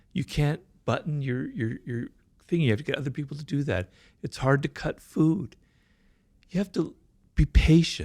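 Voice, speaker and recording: The man's pitch is fairly high and his intonation lively, with a somewhat breathy quality. Long, frequent pauses break his speech on a very clean recording with a silent background. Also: moderate pace. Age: 60s. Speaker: stroke survivor, writer. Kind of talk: interview testimony. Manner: halting, with repetitions and fillers.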